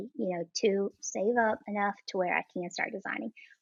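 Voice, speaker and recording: The speaker has a Southern US accent and fairly even intonation. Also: woman. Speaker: modest fashion blogger and small business owner. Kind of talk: interview answer. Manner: genuine, personable.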